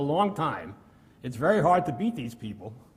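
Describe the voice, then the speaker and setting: A man's somewhat breathy voice at a moderate pace, with audible room echo. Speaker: mathematics researcher. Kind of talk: lecture. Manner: halting, many fillers.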